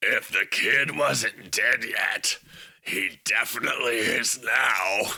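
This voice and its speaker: A man's raspy, put-on character voice at a very slow pace. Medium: read story. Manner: menacing, arrogant.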